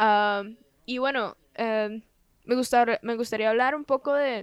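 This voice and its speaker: In a normal speaking voice, a woman speaks with fairly high pitch and fairly even intonation. The sound is dry and close, with no echo. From Costa Rica. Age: 20s. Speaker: podcast host. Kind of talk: casual interview.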